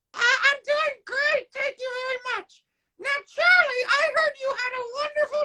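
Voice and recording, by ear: A woman uses a put-on character voice pitched extremely high. She speaks at a moderate pace.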